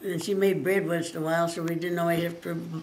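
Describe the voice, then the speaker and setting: Someone with an American accent talks with fairly even intonation over noticeable background noise. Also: woman. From rural Oregon. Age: old. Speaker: retired farm woman. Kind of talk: interview answer, life story. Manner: halting, conversational.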